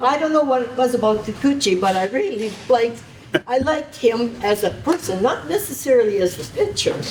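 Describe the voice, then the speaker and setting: With noticeable background noise behind her, a woman speaks fast-ish and high-pitched, her pitch swinging very widely. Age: 90s. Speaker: honoree, baseball volunteer. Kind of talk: brief thank-you remarks. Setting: induction dinner with audience.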